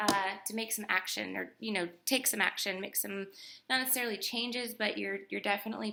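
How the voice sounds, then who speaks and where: This soft-spoken woman has a medium pitch and a bright, sharp tone. She talks at a fairly quick pace. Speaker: tarot reader. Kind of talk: tarot reading. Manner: animated.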